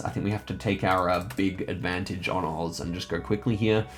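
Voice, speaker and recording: Over music in the background, a man speaks at a fairly quick pace with a very deep, low pitch and ordinary pitch variation. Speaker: gaming YouTuber. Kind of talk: live gameplay commentary. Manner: fast.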